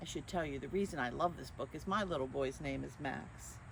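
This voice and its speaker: A woman speaks with vocal fry and lively intonation. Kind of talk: children's story reading. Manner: warm, friendly.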